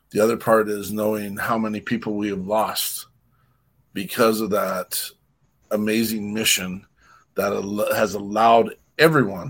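Long, frequent pauses break up a man's fairly slow speech. His pitch is fairly low, and the recording is very clean with a silent background. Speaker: radio show host. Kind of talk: casual chat. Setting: at home. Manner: animated.

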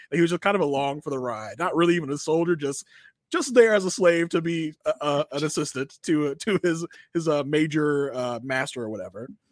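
With an American accent and an ordinary speaking voice, a man talks at a fairly quick pace with lively intonation and a fairly high pitch, the sound dry and close with no echo. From Virginia. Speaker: podcast co-host. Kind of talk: casual chat.

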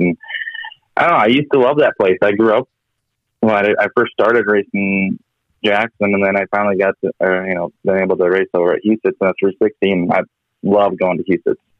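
A man with an unremarkable speaking voice talks at a fairly quick pace, his pitch fairly low with ordinary variation and his loudness very even. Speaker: sprint car team driver. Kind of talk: interview.

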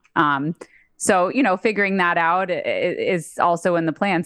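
Against a quiet background, a woman with an ordinary speaking voice talks at a moderate pace in a fairly low pitch with ordinary pitch variation. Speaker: musician and podcast co-host. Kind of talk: casual interview chat.

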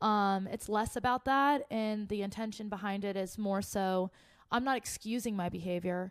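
A woman's plain, everyday voice at a medium pitch, with a moderate pace and fairly even intonation. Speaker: singer in a music duo. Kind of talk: casual interview chat.

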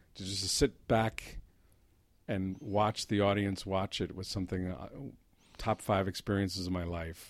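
A man with a New Jersey accent speaks at a fairly slow pace in a fairly low pitch, his intonation fairly even and broken by long, frequent pauses, on a very clean recording with a silent background. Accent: New Jersey American. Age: 50s. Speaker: playwright. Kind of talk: casual chat.

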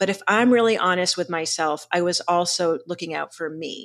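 A woman's medium-pitched voice, with ordinary pitch variation, comes through on a very clean recording where the background is silent. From Boston, US. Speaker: leadership coach. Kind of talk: interview conversation.

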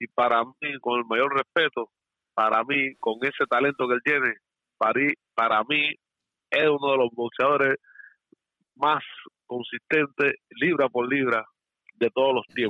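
Speaking at a fairly slow pace with long, frequent pauses, a man keeps his medium-pitched voice in fairly even intonation. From Cuba, Santiago de Cuba. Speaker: caller. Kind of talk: phone-in opinion.

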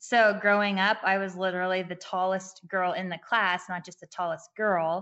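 A woman with an American accent talks at a medium pitch and a moderate pace, barely pausing. Her intonation is flat and monotone, while her loudness swings widely. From California. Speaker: nonprofit founder for girls. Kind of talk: casual interview chat.

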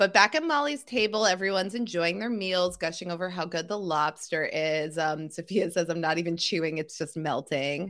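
A woman's ordinary speaking voice, fairly low-pitched, at a moderate pace with hardly any pauses and ordinary pitch variation, on a very clean recording with a silent background. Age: 40s. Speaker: podcast co-host recapping a TV show. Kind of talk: casual chat recap.

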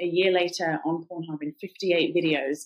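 Speaking with a British accent, a woman uses a fairly low pitch and fairly even intonation. She keeps a moderate pace. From England. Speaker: anti-trafficking activist. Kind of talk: casual interview.

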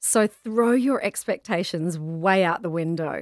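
A woman's fairly low-pitched voice at a fairly slow pace, in a very clean, dry recording with a close sound, a silent background and no echo. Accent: Australian. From Australia. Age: 40s. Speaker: travel writer, pilgrim. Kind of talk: interview, casual chat.

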